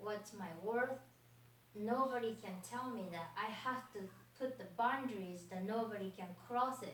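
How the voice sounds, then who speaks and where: Audible room echo and noticeable background noise fill the clip. A woman speaks at a fairly high pitch with a Japanese accent. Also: ordinary pitch variation, fairly slow pace. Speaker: fitness trainer. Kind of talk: motivational speech. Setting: stage with audience.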